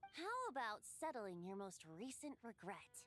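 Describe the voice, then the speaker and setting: A female-sounding, put-on character voice at a fairly high pitch and moderate pace. Clear music plays in the background. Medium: video game. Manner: light, teasing.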